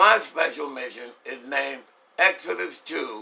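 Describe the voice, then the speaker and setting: A man with an American accent speaks at a fairly slow pace. Noticeable background noise is present. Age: 70s. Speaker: war veteran. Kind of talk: testimony. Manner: formal.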